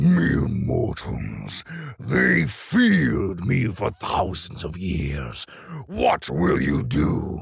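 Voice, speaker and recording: The speaker drags along at a very slow pace in a raspy put-on character voice. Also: man, very deep, low pitch for a man. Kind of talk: comic overacting. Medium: read story. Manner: menacing, scornful.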